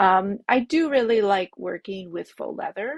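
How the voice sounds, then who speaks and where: Here a woman talks in a French accent. Her pace is fairly slow. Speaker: bag pattern designer. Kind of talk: interview. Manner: halting.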